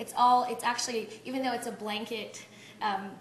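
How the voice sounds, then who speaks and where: A woman's fairly even intonation amid audible room echo and noticeable background noise. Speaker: business coach leading a workshop. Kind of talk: interactive workshop teaching. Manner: fast.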